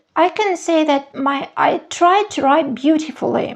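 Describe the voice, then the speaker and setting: Fairly even intonation and a very slow pace mark this voice, delivered in a Russian accent. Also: woman. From Soviet Union (Russian-speaking). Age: 50s. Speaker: journaling vlogger. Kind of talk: show-and-tell tutorial. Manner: hesitant, with fillers.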